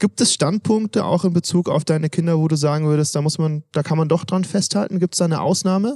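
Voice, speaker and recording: A man talks at a very fast pace in a dark, mellow tone. The sound is dry and close, with no echo. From Swabia, southwest Germany. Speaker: podcast host. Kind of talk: interview. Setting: at a conference.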